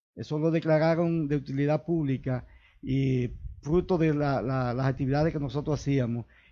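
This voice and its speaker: Here a man speaks with a fairly high pitch. His pace is moderate and his intonation fairly even. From Dominican Republic, Santiago Rodríguez province. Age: 60s. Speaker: local politician. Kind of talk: interview. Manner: halting.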